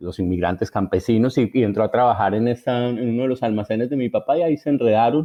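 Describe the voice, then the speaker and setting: This man speaks with a paisa accent at a medium pitch. His pitch variation is ordinary. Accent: paisa Colombian, intact. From Colombia, Antioquia (Envigado, Medellín). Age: 50s. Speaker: writer. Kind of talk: interview. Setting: remote from home. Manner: halting.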